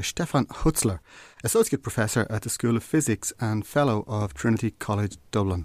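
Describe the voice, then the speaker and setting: With music in the background, a man speaks in an Irish accent at a medium pitch and moderate pace, with ordinary pitch variation and a dry, close sound with no echo. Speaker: podcast host. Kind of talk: casual chat.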